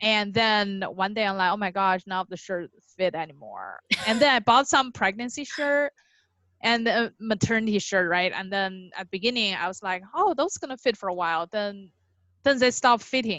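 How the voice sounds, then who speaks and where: With a Chinese accent, a woman speaks at a moderate pace. Her pitch is medium, with ordinary variation. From China. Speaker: podcast guest, new mother. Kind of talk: casual interview, personal birth story. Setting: podcast interview.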